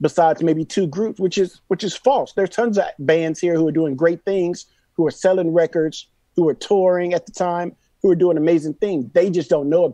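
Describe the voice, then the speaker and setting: A man with an American accent has a high pitch, ordinary pitch variation, and a dark, mellow tone on a dry, close recording with no echo. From Austin, Texas. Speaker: hip-hop artist and producer. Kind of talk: casual chat.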